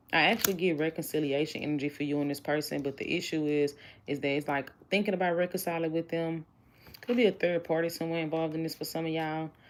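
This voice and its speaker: In a Southern US accent, a woman speaks at a very fast pace with a very deep, low pitch. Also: fairly even intonation. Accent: country (Southern US). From Houston, Texas. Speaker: tarot reader. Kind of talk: livestream tarot reading. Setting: live stream. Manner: casual, conversational.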